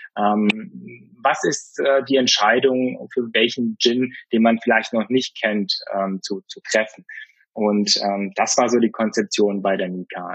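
This man talks at a very slow pace, his medium pitch showing ordinary variation. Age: 30s. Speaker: gin brand founder. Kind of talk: interview. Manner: halting, many fillers.

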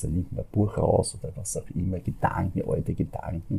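The tone is dark and mellow, with vocal fry. Delivery moves at a moderate pace with ordinary pitch variation. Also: man. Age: 60s. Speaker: fairy tale storyteller. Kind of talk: interview. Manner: halting.

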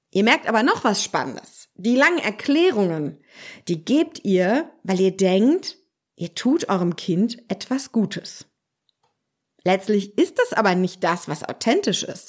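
The speech moves at a very slow pace with very wide pitch swings. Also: woman, medium pitch for a woman. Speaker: social worker and parenting coach. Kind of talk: solo podcast monologue.

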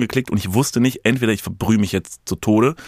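His pitch sits fairly low for a man. He talks very fast. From Lower Rhine, NRW (Kevelaer, near Dutch border). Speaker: podcaster and content creator. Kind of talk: casual chat.

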